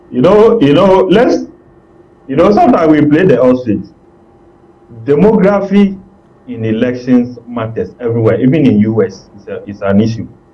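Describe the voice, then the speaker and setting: Over noticeable background noise, the voice keeps a moderate pace with long, frequent pauses, very wide pitch swings and big swings in loudness. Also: man, fairly high pitch for a man. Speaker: political analyst. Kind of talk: TV political discussion.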